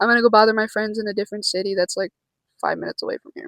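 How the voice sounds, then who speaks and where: Fairly even intonation in an American accent, with a dry, close sound and no echo. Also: woman. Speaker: vlogger. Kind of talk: casual vlog. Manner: halting.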